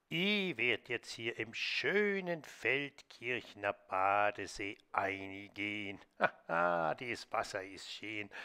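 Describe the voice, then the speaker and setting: A man doing a cartoonish character voice, fairly low-pitched and very slow with hardly any pauses, on a very clean recording with a silent background. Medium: puppet.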